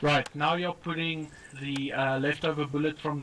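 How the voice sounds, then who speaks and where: Noticeable background noise sits behind the speaker. The voice has a non-native accent and a moderate pace. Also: man. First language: not English. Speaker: gaming group member training a new player. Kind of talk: casual gaming chat, instructing. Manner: halting, many fillers.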